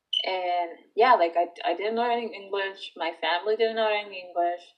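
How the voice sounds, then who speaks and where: This woman talks at a medium pitch with a Spanish accent. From Dominican Republic, moved to US at twelve. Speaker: former English-language learner. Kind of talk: interview testimony. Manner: casual, hesitant with fillers.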